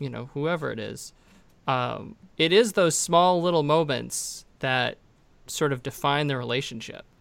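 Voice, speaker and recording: On a very clean recording with a silent background, a man uses an ordinary speaking voice at a moderate pace, fairly high in pitch, with ordinary pitch variation. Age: 30s. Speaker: podcast host, attorney. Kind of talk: casual chat.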